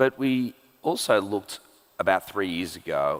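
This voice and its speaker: A man with an Australian accent speaks at a fairly low pitch. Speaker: tech executive. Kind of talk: onstage interview. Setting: stage with audience.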